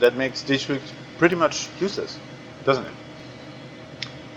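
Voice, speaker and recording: Noticeable background noise accompanies a man speaking. He talks at a very slow pace with ordinary pitch variation. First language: German. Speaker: gamer. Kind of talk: let's play commentary.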